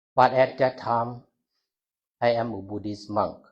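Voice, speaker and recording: A somewhat breathy man at medium pitch, with fairly even intonation and a fairly slow pace. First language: not English. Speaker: Buddhist monk. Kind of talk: talk to a university audience. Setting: university hall with audience. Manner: halting.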